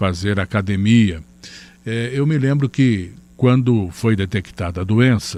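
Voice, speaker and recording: Over a very clean recording with a silent background, a man speaks at a very slow pace in a fairly low pitch. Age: 60s. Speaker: channel host. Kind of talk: personal testimony. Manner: halting with fillers.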